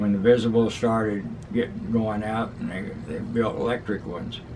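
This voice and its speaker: Moderate pace over noticeable background noise. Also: man. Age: 80s+. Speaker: market master and antiques dealer. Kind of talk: interview answer.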